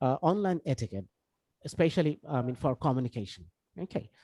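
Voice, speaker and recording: A man with a Bangladeshi accent and lively intonation. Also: dry, close sound with no echo. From Bangladesh, Khulna. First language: Bengali. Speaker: English language trainer. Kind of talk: online lecture. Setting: video call. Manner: many fillers and self-corrections.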